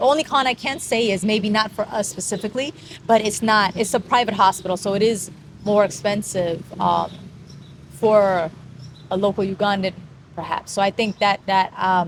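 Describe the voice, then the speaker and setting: A woman with an unremarkable speaking voice and an American accent talks at a moderate pace and medium pitch, with ordinary pitch variation. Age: 40s. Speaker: vlogger. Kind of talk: casual chat.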